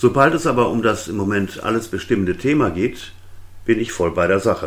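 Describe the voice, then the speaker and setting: An ordinary speaking voice with lively intonation moves along at a moderate pace. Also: man. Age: 60s. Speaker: podcaster, retired web publisher. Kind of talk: solo monologue podcast.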